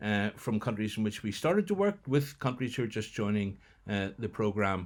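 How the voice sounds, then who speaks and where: This man speaks with a Northern Irish accent. His pitch is fairly low. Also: very clean recording, silent background. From Northern Ireland. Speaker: international development project leader. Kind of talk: recorded welcome address. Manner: hesitant, many fillers.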